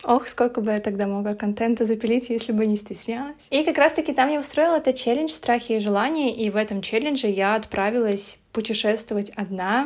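On a very clean recording with a silent background, a woman speaks. Hers is an unremarkable speaking voice with a fairly high pitch. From Belarus. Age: 20s. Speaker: blogger. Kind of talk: casual chat.

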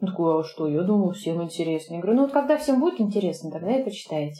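Her pitch swings very widely as this woman talks. Noticeable background noise runs underneath. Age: 30s. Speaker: pastry chef. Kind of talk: interview. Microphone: sound quality may be poor.

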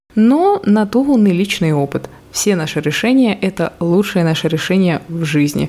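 Speaking at a moderate pace, a woman uses lively intonation at medium pitch. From Russia, Murmansk. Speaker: podcast host, personal brand mentor. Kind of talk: unscripted solo monologue.

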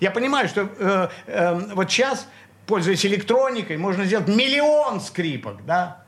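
A man's high voice with very wide pitch swings, a fairly slow pace, and noticeable background noise. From Leningrad (St Petersburg), Russia. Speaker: composer and multi-instrumentalist. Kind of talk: radio interview, reminiscing. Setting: radio studio.

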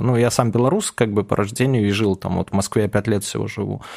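The man speaks at a very fast pace. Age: 30s. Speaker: ex-cybercriminal turned blogger and author. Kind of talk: casual interview.

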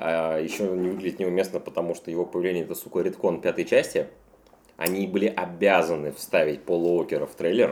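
Loudness rises and falls in big swings as a man talks. He keeps a fairly quick pace. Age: 30s. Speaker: podcast host. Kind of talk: casual chat.

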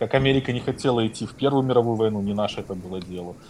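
Dark and mellow in tone, a man's fairly low voice shows ordinary pitch variation. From Belarus. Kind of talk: casual chat. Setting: Telegram call.

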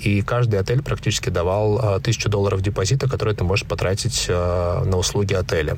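Against noticeable background noise, a man with a fairly low pitch and ordinary variation speaks at a moderate pace. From Russian Far East, Khabarovsk. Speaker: entrepreneur, digital agency founder. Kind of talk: interview.

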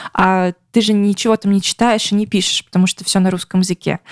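A woman speaks in a normal speaking voice at a medium pitch. The sound is dry and close with no echo, in a very clean recording with a silent background. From Russia. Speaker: podcast co-host. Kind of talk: casual chat.

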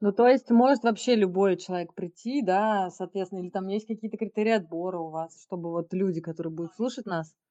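A woman speaks fairly quickly with hardly any pauses in a medium-pitched, dark, mellow voice with ordinary pitch variation, the sound dry and close with no echo against a quiet background. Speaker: podcast co-host. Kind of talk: casual interview chat.

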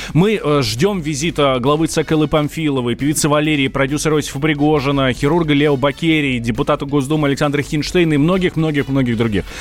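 Over noticeable background noise, a man talks very fast with hardly any pauses, his fairly high voice held at very even loudness and fairly even intonation. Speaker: radio host. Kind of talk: live radio talk show. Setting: studio.

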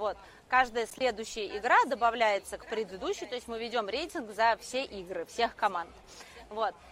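A woman's fairly high voice at a moderate pace, with ordinary pitch variation and big swings in loudness. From Russia, Moscow. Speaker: entrepreneur and quiz organizer. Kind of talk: casual talk at a live event. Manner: halting, many fillers.

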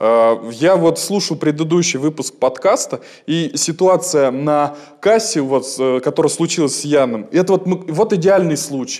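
A man with an unremarkable speaking voice talks at a fairly slow pace and a fairly high pitch, using lively intonation. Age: 20s. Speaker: stage actor and radio host. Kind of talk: casual chat.

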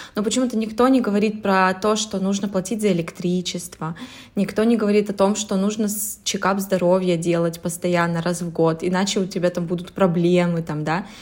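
At a fairly quick pace, a woman with an unremarkable speaking voice talks at medium pitch with fairly even intonation. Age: 20s. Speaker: podcast co-host. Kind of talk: casual chat.

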